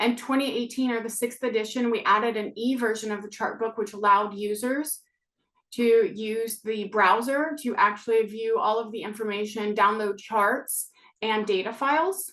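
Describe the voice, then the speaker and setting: A woman with an American accent talks at a moderate pace and fairly high pitch. Hers is an unremarkable speaking voice. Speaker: data researcher presenting a webinar. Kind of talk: webinar presentation. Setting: online webinar.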